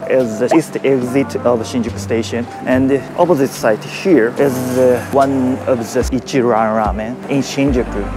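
Clear music plays behind a man who speaks at a fairly slow pace with ordinary pitch variation, the sound dry with no echo. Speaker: travel vlogger. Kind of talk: casual vlog chat. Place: street. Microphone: lapel.

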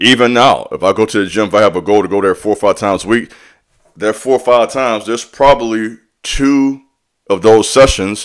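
The setting is quiet. His intonation, that of a man, is lively. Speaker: fitness vlogger. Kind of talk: casual vlog chat. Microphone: studio mic.

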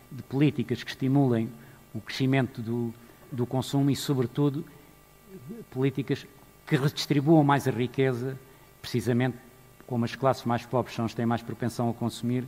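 Faint music plays behind a man who speaks at a moderate pace with monotone, flat intonation and long, frequent pauses. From Portugal. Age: 60s. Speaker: economist and manager. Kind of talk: conference keynote speech. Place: stage. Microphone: headset.

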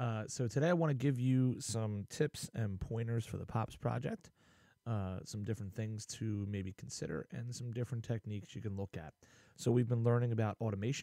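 A man talks at a fairly quick pace with a dark, mellow tone and ordinary pitch variation. The sound is dry with no echo, over a quiet background. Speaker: music technology teacher. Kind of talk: tutorial. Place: home room.

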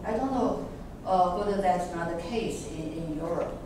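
The voice rings with strong room echo over noticeable background noise. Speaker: discussion moderator. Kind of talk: academic discussion. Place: classroom.

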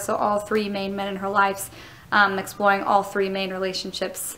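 Her pace fairly quick, a woman is talking. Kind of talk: reflective vlog about rehearsal. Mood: thoughtful, pleased. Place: stage. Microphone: phone near.

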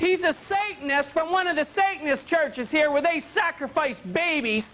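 The voice is raised and projected, shouting in an excited tone. It moves at a fairly slow pace. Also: man. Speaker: televangelist. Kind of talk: TV sermon broadcast. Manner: excited, ranting, shouting. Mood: angry, indignant. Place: studio. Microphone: lapel.

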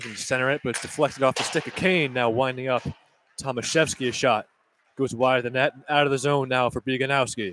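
In an excited tone, the speaker races along at a very fast pace, with light background noise and a dry sound free of echo. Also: man. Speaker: play-by-play announcer. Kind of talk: live sports play-by-play commentary. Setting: rinkside broadcast booth in arena corner. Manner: rapid-fire, high-energy, excited on goals; clipped, continuous puck-by-puck narration. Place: stadium.

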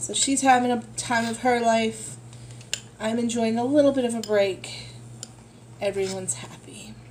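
Amid noticeable background noise, a woman speaks at a moderate pace. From United States. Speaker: vlogger. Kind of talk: casual vlog chat. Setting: shopping in a store. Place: home room. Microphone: phone near.

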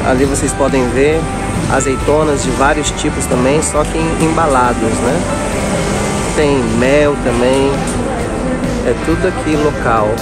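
A man at a fairly slow pace, with long, frequent pauses, a dry sound with no echo, and loud music in the background. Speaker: travel vlogger. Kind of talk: casual vlog tour narration. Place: street. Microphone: phone near.

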